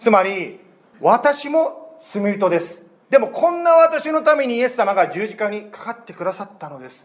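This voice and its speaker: His pitch swings very widely as this man speaks. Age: 30s. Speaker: pastor. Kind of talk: sermon. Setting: church.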